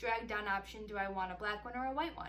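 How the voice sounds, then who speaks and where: There is noticeable background noise and audible room echo. A woman speaks at a fairly quick pace with ordinary pitch variation. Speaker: singer-songwriter vlogger. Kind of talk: casual vlog tutorial. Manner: fast; animated.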